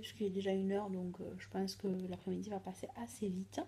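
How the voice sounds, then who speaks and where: This soft-spoken woman talks at a fairly quick pace. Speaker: vlogger. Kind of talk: casual vlog.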